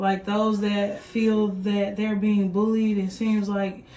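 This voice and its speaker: A woman speaks at a fairly slow pace with a Texas accent. Some room echo can be heard. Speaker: vlogger and parent. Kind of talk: casual vlog chat. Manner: conversational, filler-heavy.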